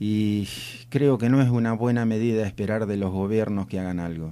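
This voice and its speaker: A man speaks at medium pitch with a dark, mellow tone and ordinary pitch variation. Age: 60s. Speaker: rural society representative. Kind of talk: radio interview. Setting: radio studio.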